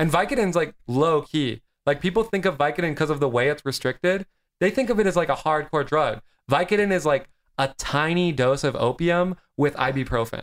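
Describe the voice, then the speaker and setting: Fairly high in pitch, a man with an unremarkable speaking voice talks at a fairly quick pace with ordinary pitch variation. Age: 20s. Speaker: actor and comedian. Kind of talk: casual chat.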